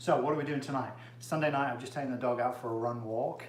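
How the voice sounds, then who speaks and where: A man talks in an English accent with a flat, monotone delivery. Noticeable background noise and audible room echo fill the recording. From England. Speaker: chiropractor. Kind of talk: casual cooking livestream. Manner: casual, many fillers.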